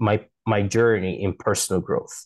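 Speaking in a Portuguese accent, a man goes at a very slow pace. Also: quiet background. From Brazil, Manaus. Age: 20s. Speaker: linguistics student. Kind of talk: interview.

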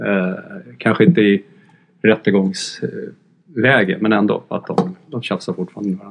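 Speaking at a moderate pace in an ordinary speaking voice, a man with a fairly low pitch keeps his intonation fairly even while his loudness swings widely. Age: 50s. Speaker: music journalist. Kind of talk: casual chat. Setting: studio.

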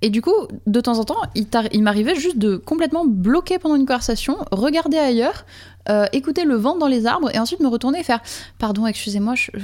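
At a fairly quick pace, a woman with a high voice speaks at a very even loudness. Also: lively intonation. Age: 40s. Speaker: live-action role-player. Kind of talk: casual chat. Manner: halting.

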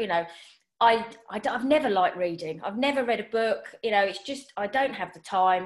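A woman with a normal speaking voice talks in a fairly high pitch with lively intonation. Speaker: personal stylist and podcast host. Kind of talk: casual interview chat.

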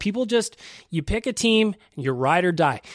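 A man's animated voice with very wide pitch swings and a fairly quick pace, dry and close with no echo, on a very clean recording against a silent background. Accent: Western Canadian. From Edmonton, Alberta, Canada. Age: 30s. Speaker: hockey podcast host. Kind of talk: casual chat.

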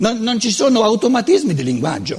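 A man with a Lombard accent speaks at a very fast pace and an extremely high pitch, his voice swinging very widely. Noticeable background noise runs underneath. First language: Lombard dialect (speaking Italian). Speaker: lecturer on philosophy. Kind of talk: lecture. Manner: halting.

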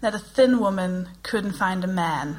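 A woman with a Danish accent at a fairly slow pace. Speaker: comedian and podcast co-host. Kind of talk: live comedy podcast chat. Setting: stage with live audience.

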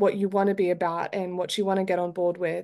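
Against a quiet background, a woman speaks at a medium pitch in a monotone, flat intonation. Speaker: podcast host. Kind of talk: interview.

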